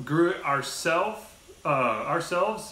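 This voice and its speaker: Audible room echo around a man's voice. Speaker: video host. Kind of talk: casual vlog chat. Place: home room. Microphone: camera far.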